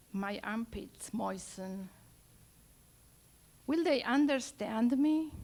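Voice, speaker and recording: With an Argentine accent, a woman speaks very slowly at a high pitch, her voice swinging very widely up and down. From Argentina, Buenos Aires. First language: Spanish. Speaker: poet and storyteller. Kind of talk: live storytelling.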